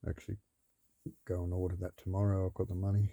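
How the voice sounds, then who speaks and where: In an Australian accent, a man speaks with a very deep, low pitch and a dark, mellow tone, his intonation monotone and flat, on a very clean recording with a silent background. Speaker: vlogger building a vehicle. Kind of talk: casual video log. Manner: rambling, hesitant.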